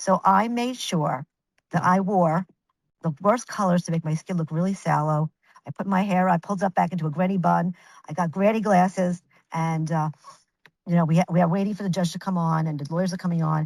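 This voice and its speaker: In a New York accent, a woman with a fairly low pitch talks at a fairly quick pace, the sound dry and close with no echo. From Brooklyn, New York. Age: 60s. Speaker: image consultant. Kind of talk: interview storytelling. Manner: animated; halting.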